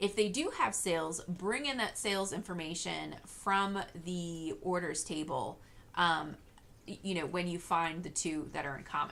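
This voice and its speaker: A woman talks at a moderate pace with a fairly low pitch. Her tone is bright and sharp. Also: ordinary pitch variation. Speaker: software tutorial creator. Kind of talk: screen-recorded tutorial.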